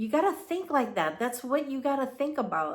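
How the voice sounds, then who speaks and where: A woman with a Filipino accent and lively intonation. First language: Tagalog. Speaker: commentary vlogger. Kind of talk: casual monologue. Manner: halting.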